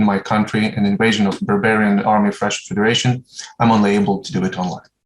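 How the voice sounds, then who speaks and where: The speaker has a Ukrainian accent. The intonation stays fairly even. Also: man. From Ukraine (Uzhhorod). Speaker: surgeon. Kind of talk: conference talk. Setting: online presentation. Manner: formal.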